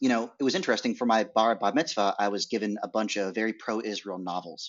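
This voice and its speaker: A man with an American accent speaks at a fairly quick pace. His pitch is fairly low. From US Northeast (rural Maine). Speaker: documentary filmmaker. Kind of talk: interview. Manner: halting.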